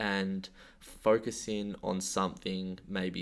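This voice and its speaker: This man's voice sits very deep and low. He speaks in a monotone, flat way. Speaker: personal trainer. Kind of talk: casual podcast chat.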